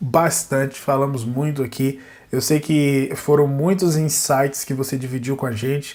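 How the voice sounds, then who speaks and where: Fairly even in intonation, a man talks in an ordinary speaking voice. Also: fairly high pitch for a man, fairly slow pace. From Brazil, Northeast. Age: 30s. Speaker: jiu-jitsu podcast host. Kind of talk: casual interview.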